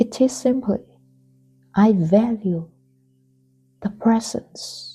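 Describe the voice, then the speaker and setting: Music plays behind a soft-spoken woman with a gentle tone and a fairly high pitch. She talks at a very slow pace with ordinary pitch variation. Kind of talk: spoken reflection. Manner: gentle, soft-spoken.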